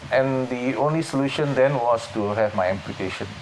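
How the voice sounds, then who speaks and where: A man talks with ordinary pitch variation. Behind him, background noise is noticeable. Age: 60s. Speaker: para powerlifter and fitness coach. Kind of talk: interview testimony. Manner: hesitant, with fillers.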